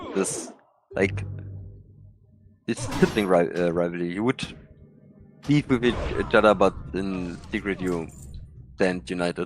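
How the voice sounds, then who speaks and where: Over music in the background, a man with a German accent talks at a fairly slow pace in a very deep, low pitch, with ordinary pitch variation and long, frequent pauses. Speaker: fellow gamer. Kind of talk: casual chat. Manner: halting, searching for words.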